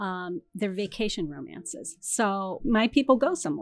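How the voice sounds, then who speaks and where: A woman with an American accent speaks at a fairly high pitch. Her intonation is lively, and the recording is very clean with a silent background. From Canada, then US (Michigan, California). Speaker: romance novelist. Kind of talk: interview.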